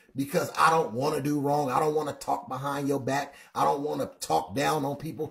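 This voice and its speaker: Speaking at a moderate pace with hardly any pauses, a man sounds somewhat breathy and uses ordinary pitch variation. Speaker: livestream Bible teacher. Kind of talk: sermon-like livestream commentary. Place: home room.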